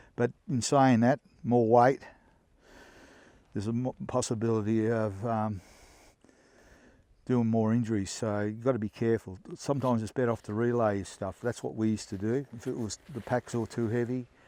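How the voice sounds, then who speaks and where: With an Australian accent, a man speaks in a dark, mellow tone at a medium pitch and moderate pace, with fairly even intonation and long, frequent pauses, in a dry, close sound with no echo. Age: 70s. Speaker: hunter reviewing gear. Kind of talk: casual gear review. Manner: halting, many fillers.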